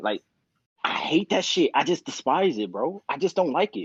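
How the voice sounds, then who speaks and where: Loud and animated, a man talks at a fairly quick pace with very wide pitch swings. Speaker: podcast co-host. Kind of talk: casual chat.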